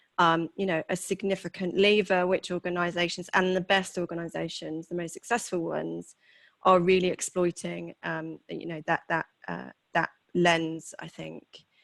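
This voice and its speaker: A woman with a British accent speaks at a moderate pace with big swings in loudness, captured in a very clean recording with a silent background and a dry, close sound with no echo. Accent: noticeable British. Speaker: HR executive. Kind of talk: interview. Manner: hesitant, many fillers.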